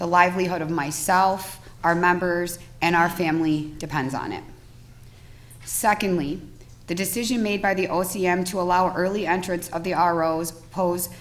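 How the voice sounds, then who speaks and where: Amid audible room echo, a woman speaks at a moderate pace and a fairly low pitch with fairly even intonation. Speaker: cannabis dispensary applicant and trade association president. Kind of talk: testimony at public hearing. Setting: legislative hearing room. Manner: formal, reading prepared remarks.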